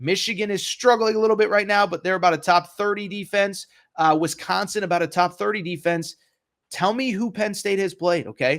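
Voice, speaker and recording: Fairly quick in pace, a man talks at a high pitch. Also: ordinary pitch variation. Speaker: sports betting analyst. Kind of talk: monologue. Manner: loud; animated.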